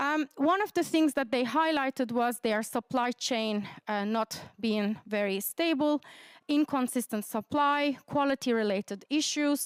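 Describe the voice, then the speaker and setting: In a Turkish accent, a woman talks at a fairly slow pace. Her pitch is high with ordinary variation, and the sound is dry and close with no echo. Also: very even loudness, very clean recording, silent background. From Turkey. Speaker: academic researcher. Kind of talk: conference presentation.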